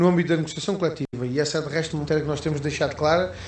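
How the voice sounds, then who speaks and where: A man's voice carries fairly even intonation in a recording with audible room echo. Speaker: politician. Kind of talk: radio interview. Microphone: poor line.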